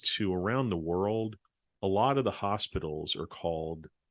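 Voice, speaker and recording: With a plain, everyday voice and an American accent, a man speaks at a fairly low pitch with ordinary variation, in a dry, close sound with no echo over a quiet background. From New York. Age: 50s. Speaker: professor. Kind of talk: interview.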